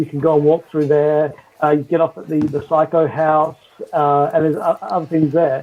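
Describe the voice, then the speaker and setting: With an Australian accent, a man talks at a moderate pace and a fairly high pitch. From Western Australia. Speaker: Disney park fan. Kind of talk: casual chat. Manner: halting, many fillers.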